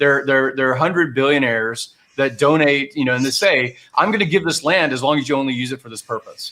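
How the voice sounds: Speaking at a fairly quick pace, a man has a medium pitch, ordinary pitch variation and a bright, sharp tone.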